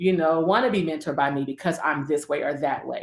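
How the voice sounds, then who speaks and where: Talking at a very fast pace, a woman uses lively intonation and a fairly low pitch with vocal fry. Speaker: preacher and mentoring coach. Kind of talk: casual chat.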